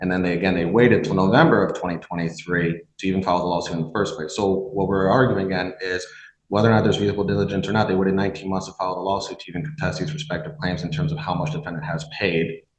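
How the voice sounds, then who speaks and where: A man with a very deep, low pitch talks at a very fast pace with hardly any pauses. His intonation is lively, and audible room echo surrounds the voice. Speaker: defense attorney. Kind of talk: courtroom argument.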